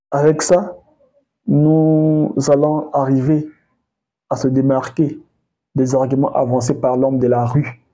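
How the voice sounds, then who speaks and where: A man with a Congolese accent speaks very slowly at a fairly high pitch, his dark, mellow tone carrying fairly even intonation broken by long, frequent pauses. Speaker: history commentator. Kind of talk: educational talk. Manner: hesitant, with many fillers.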